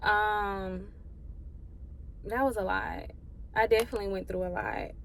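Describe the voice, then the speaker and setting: Fairly slow speech with audible room echo. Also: woman. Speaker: vlogger. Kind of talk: casual vlog monologue. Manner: animated; halting, holding back tears.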